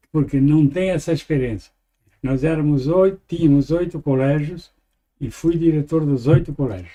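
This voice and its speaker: A man speaks with a dark, mellow tone at a fairly high pitch and a moderate pace. His pitch varies in an ordinary way. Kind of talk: interview. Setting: studio. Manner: halting.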